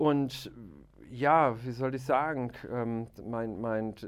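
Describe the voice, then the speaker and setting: A man speaks in a medium pitch. His intonation is monotone and flat. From Aachen, western Germany. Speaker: hunter and video show presenter. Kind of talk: casual chat. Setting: studio.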